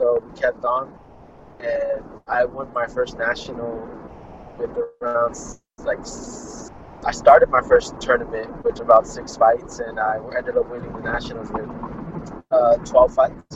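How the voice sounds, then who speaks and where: A man with an American accent talks at a fairly slow pace, leaving long, frequent pauses over noticeable background noise. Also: big swings in loudness. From US West Coast, Fresno California. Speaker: amateur boxer. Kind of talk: interview.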